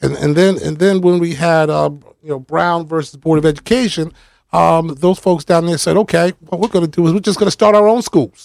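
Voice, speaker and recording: The speaker has an American accent and ordinary pitch variation. The pace is fairly quick. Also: man, high pitch for a man. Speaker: retired firefighter and commissioner. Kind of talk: casual interview chat. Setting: radio studio.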